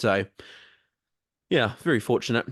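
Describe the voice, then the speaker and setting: A man talks at a very fast pace, recorded dry and close with no echo in a quiet background. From New Zealand. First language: Māori. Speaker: Māori language consultancy manager. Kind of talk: podcast interview. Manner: hesitant, many fillers.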